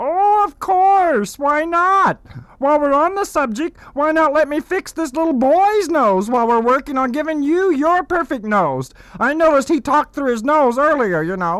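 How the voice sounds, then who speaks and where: A man talks at a moderate pace. His pitch is extremely high. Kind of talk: comic overacting. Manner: smooth, pushy salesman.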